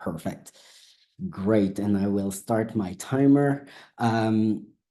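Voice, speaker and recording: Delivered at a very slow pace in a French accent, the voice has a dark, mellow tone and ordinary pitch variation. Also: man, fairly low pitch for a man. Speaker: academic researcher. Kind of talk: academic lecture. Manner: halting.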